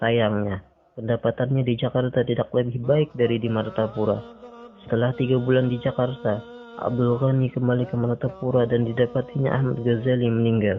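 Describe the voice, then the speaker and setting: With music in the background, a man of medium pitch talks at a fairly quick pace with fairly even intonation. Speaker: radio announcer. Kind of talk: documentary narration.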